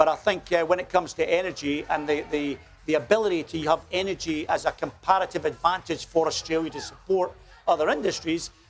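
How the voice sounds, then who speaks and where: Fairly high in pitch, a man with a Scottish accent talks at a fairly quick pace with fairly even intonation. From Scotland, small village. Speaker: company executive. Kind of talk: TV interview. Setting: outdoors at a street festival. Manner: hesitant, many fillers.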